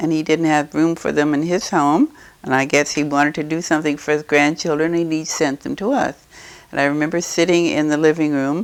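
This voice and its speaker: Speaking at a fairly quick pace, a woman with a Midwestern American accent has a very deep, low pitch and fairly even intonation. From Eureka, Illinois, USA. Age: 80s+. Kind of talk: interview answer.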